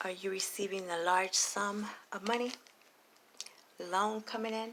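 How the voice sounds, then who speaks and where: A woman is speaking. She is quiet. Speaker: tarot reader. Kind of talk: tarot reading monologue. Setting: recording late at night at home. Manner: quiet, keeping voice down.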